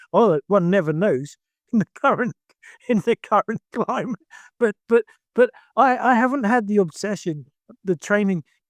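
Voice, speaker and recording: A man's high-pitched voice at a moderate pace, broken by long, frequent pauses, in a dry, close sound with no echo. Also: lively intonation, very even loudness. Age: 60s. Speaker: karate instructor. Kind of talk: casual chat. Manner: halting.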